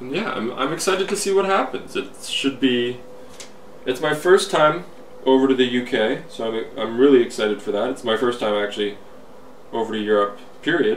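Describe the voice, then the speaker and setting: Lively intonation at a fairly quick pace, with noticeable background noise. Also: man, medium pitch for a man. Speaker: hobby video blogger. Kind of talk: casual video letter monologue.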